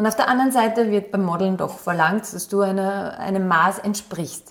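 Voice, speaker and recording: A woman at medium pitch with an Upper Austrian accent, fairly even intonation and a moderate pace. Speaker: model and former athlete. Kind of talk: interview.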